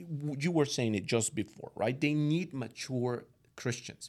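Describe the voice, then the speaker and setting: A man's medium-pitched voice with a Latin American accent, ordinary pitch variation, and a very clean recording over a silent background. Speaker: guest parent. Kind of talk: conversational interview, giving parenting advice. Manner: thoughtful, slightly hesitant.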